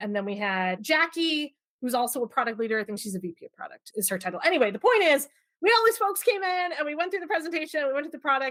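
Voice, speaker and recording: Loud and animated, a woman talks at a very fast pace in a high pitch with very wide pitch swings. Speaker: product management leader. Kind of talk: podcast interview.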